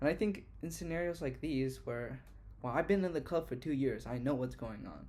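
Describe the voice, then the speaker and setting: Room echo is audible as this man speaks. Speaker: university student vlogger. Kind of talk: casual vlog monologue. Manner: fast; halting, with fillers and restarts.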